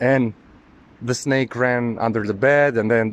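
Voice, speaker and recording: Using a non-native accent, a man speaks at a moderate pace and medium pitch with fairly even intonation. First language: not English. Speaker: occult spiritual video maker. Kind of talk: personal testimony monologue. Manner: halting, with many fillers.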